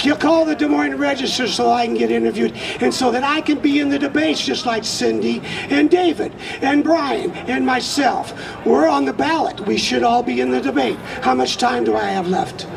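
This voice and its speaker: At a moderate pace, a man talks with noticeable background noise present. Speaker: political candidate. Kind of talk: campaign speech.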